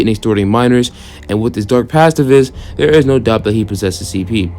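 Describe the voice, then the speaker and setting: A man at a very fast pace and medium pitch, with noticeable background noise. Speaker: YouTube commentator. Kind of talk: reading a document with commentary. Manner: halting.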